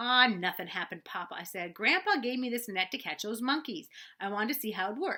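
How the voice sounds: The reading voice sounds natural. Its intonation is lively.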